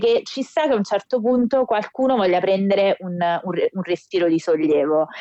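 Her dark, mellow voice swings very widely in pitch as the woman talks at a moderate pace, the sound dry and close with no echo. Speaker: wrestling podcast co-host. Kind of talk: casual chat. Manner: animated. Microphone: recording on phone, may sound distant.

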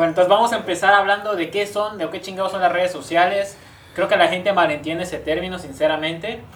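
A woman at a very fast pace, medium pitch and fairly even intonation, with noticeable background noise and audible room echo. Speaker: podcast host. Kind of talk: casual chat.

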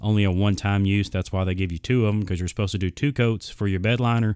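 A man with a Southern US accent and a fairly low pitch. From Arkansas, US South. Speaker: podcast host. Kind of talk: casual solo podcast monologue. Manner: rambling, filler-heavy, casual.

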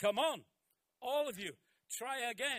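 With a bright, sharp tone, this man speaks in an animated way. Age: 70s. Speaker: pastor. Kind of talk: sermon.

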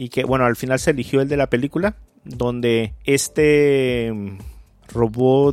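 With an ordinary speaking voice, a man talks at a fairly slow pace and a medium pitch. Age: 30s. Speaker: podcast host. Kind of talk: casual chat.

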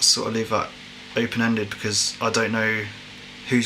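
The recording has noticeable background noise. A man at medium pitch talks at a fairly quick pace with monotone, flat intonation. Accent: English. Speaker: podcast co-host. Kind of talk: casual chat.

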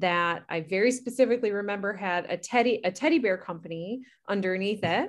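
A woman talks at a moderate pace, with a quiet background behind her. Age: 30s. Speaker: podcast co-host. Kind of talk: casual chat.

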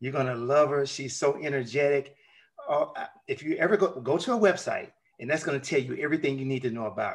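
Speaking in a Southern US accent, a man uses a fairly high pitch with ordinary pitch variation. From US South. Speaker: mindset coach and podcast host. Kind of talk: interview.

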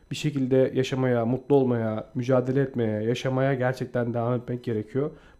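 A man talks at a moderate pace in a flat monotone. Noticeable background noise can be heard. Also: medium pitch for a man. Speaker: podcast co-host. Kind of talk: reading aloud; casual chat.

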